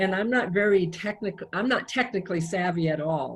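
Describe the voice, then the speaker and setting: The pace is moderate, with ordinary pitch variation. Noticeable background noise can be heard. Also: woman. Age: 60s. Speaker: singer-songwriter. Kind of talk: interview.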